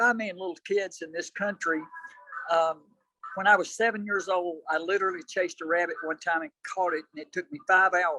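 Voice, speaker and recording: With a Southern US accent, a man raises and projects his voice at a high pitch, talking at a fairly quick pace in a bright, sharp tone with big swings in loudness. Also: ordinary pitch variation, dry, close sound with no echo. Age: 70s. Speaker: ultramarathon runner. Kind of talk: interview.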